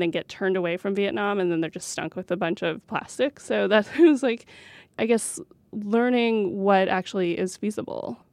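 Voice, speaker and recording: Recorded with a dry, close sound, no echo and a quiet background, a woman with a plain, everyday voice speaks at medium pitch and a moderate pace with an American accent. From rural New Mexico, US. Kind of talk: interview.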